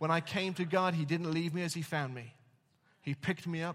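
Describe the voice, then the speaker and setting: On a very clean recording with a silent background, a man with an English accent speaks at a fairly high pitch with fairly even intonation. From England. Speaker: pastor. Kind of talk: sermon. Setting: church.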